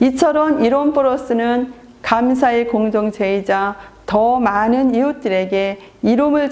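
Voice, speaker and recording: Ordinary pitch variation in an ordinary speaking voice, delivered at a fairly slow pace. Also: woman. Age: 60s. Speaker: network marketing leader. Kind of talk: seminar presentation. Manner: formal.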